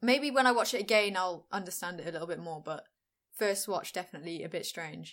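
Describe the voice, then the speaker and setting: Her pace is very fast. This woman's intonation is lively. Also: medium pitch for a woman. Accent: Welsh. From Wales. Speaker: podcast host. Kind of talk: casual chat.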